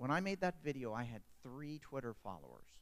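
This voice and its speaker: With lively intonation, a man talks at a fairly quick pace. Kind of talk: panel discussion. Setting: stage with audience.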